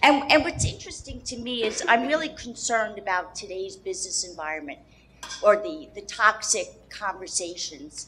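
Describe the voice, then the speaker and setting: Speaking at a moderate pace, a woman with an unremarkable speaking voice uses lively intonation at a fairly high pitch. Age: 60s. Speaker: audience member asking a question. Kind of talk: audience question.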